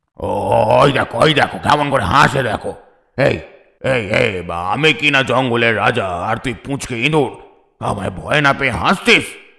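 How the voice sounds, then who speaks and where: Here a man does a cartoonish character voice at a medium pitch. He keeps a moderate pace. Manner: blustering, stammering.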